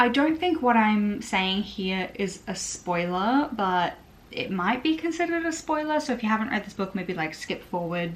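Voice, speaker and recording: A woman with an Australian accent speaks at a moderate pace with a fairly high pitch. Her voice is somewhat breathy, with very wide pitch swings. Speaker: book vlogger. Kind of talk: casual vlog talk to camera. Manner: casual, filler-heavy.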